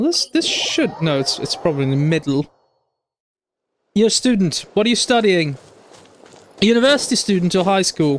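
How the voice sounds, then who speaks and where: Pitched high, a man's voice swings very widely in pitch, broken by long, frequent pauses. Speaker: streamer. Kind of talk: casual gameplay stream chat. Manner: halting, many fillers; careful enunciation, thinking through words.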